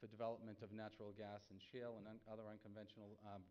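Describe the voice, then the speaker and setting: Someone with a Boston accent talks at a very fast pace, with audible room echo. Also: man. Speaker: energy economist panelist. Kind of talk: conference presentation.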